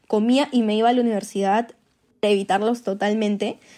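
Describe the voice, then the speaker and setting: A woman with a dark, mellow tone and fairly high pitch talks at a moderate pace. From Peru. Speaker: industrial engineer, former exchange student. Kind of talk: personal storytelling.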